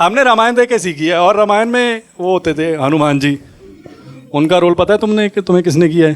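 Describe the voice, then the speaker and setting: A man with a Punjabi accent speaks at a moderate pace. His pitch swings very widely over noticeable background noise. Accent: Punjabi-accented Hindi. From Punjab, India. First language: Punjabi (speaking Hindi). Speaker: stand-up comedian. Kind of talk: stand-up.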